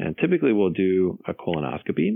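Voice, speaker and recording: A man with a very deep, low pitch and an American accent, at a moderate pace. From Los Angeles, California. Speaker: gastroenterologist. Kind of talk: interview.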